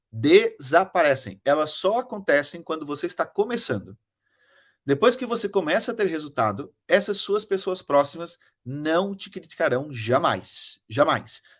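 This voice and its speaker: A man talks fairly slowly in a high pitch with very wide pitch swings. The recording is very clean, with a silent background. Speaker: online marketing mentor. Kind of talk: motivational talk to an audience.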